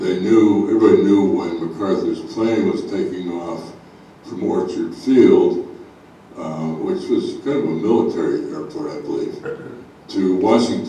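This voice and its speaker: Speaking at a fairly slow pace, a man has an American accent. The room echo is audible and background noise is noticeable. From US Midwest, Chicago. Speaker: local history speaker. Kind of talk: illustrated talk to an audience. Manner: halting, many fillers.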